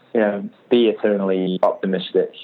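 This is a man talking. Noticeable background noise runs under his voice. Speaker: rock band singer. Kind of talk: casual interview.

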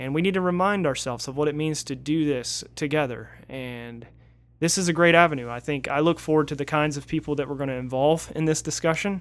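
In a normal speaking voice, a man with an American accent talks at a fairly high pitch with ordinary pitch variation. The recording is very clean, with a silent background. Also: fairly quick pace. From Northeast Florida. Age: 30s. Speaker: pastor. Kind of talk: casual chat.

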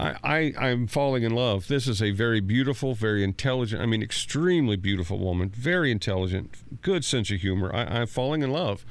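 A man's normal speaking voice at medium pitch, moderate pace and lively intonation, in a very clean recording with a silent background. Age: 50s. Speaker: station manager. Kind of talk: casual storytelling. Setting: studio.

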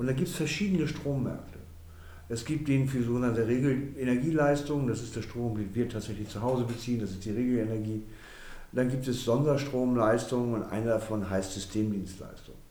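Speaking at a fairly quick pace with ordinary pitch variation, a man with a medium-pitched voice is heard amid audible room echo. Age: 60s. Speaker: energy company managing director. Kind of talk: interview. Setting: office.

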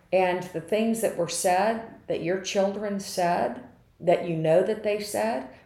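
Audible room echo around a woman speaking, her pitch varying in an ordinary way. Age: 60s. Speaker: podcaster. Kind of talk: personal monologue. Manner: animated.

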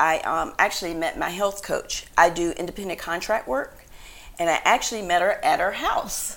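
Recorded very cleanly against a silent background, a woman with an American accent speaks at a moderate pace. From rural North Carolina. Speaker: health coach. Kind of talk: interview.

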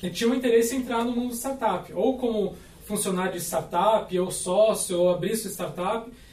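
A man with a high voice talks at a moderate pace and ordinary pitch variation, with audible room echo and noticeable background noise. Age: 30s. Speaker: startup founder. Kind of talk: podcast panel discussion.

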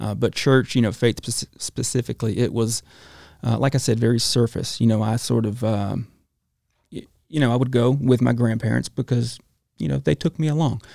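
In an Alabama accent, a man talks at a fairly quick pace with a medium pitch and ordinary pitch variation. His tone is dark and mellow, and the sound is dry and close with no echo. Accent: Southern US (Alabama). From US South, Alabama. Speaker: chef. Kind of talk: testimony.

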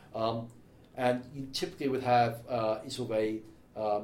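Audible room echo surrounds a man speaking at a moderate pace, medium in pitch, with fairly even intonation. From Wales. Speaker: tech company specialist. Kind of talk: casual chat.

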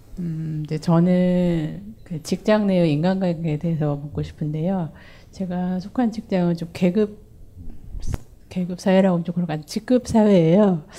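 At a fairly slow pace, a woman speaks in a fairly low pitch with a dark, mellow tone. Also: ordinary pitch variation. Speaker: audience member, office worker. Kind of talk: audience question.

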